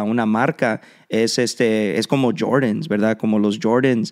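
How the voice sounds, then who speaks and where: A man at a fairly slow pace with fairly even intonation, against a quiet background. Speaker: podcast host. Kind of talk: casual interview. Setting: in a shop. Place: studio. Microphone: studio mic.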